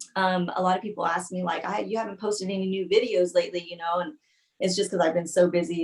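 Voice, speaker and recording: Talking at a very fast pace, this speaker has an American accent and fairly even intonation. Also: woman. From California Central Valley. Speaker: singer. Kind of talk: interview. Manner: hesitant, many fillers.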